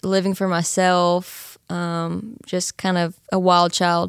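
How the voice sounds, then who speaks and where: Very slow female speech in an American accent. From East Texas, Nacogdoches. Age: 20s. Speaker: college student, church member. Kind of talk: casual interview, testimony.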